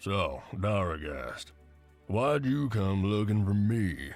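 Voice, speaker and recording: Faint music plays behind a man doing a put-on character voice at a fairly low pitch. He talks at a very slow pace with lively intonation. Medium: read story. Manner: talkative, easygoing.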